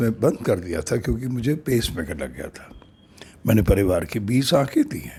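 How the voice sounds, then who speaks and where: A man's medium-pitched voice with lively intonation and vocal fry. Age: 60s. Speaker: storyteller and social worker. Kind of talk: narrated story with appeal to viewers.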